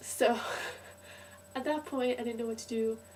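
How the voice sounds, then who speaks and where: A woman's fairly high voice at a moderate pace, monotone and flat, over noticeable background noise. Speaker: student in Scotland, travelled from Canada. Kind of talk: casual talk to camera.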